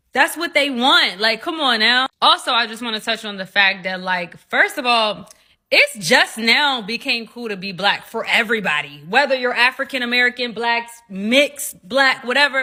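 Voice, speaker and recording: A woman at a high pitch and moderate pace, with lively intonation, big swings in loudness and hardly any pauses. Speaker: panel discussion participant. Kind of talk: group discussion.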